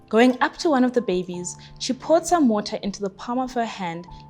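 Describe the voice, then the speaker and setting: Music plays in the background as a woman speaks at a moderate pace. Her intonation is lively. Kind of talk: book excerpt reading.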